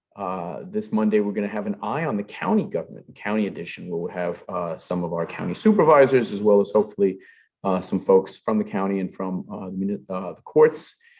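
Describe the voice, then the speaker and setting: With a strong Brooklyn accent, a man talks at a fairly quick pace, his pitch varying in an ordinary way while his loudness swings widely. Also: fairly low pitch for a man, quiet background. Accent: thick Brooklyn. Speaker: forum host, executive director of civic organization. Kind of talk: closing announcements. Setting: live event hall. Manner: many filler uhs, halting.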